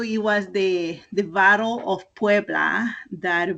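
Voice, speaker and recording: A woman with a Spanish accent speaks at a very slow pace, her medium pitch showing ordinary variation. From Mexico, Oaxaca (town of Mitla). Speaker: clothing entrepreneur. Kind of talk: interview. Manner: hesitant, many fillers.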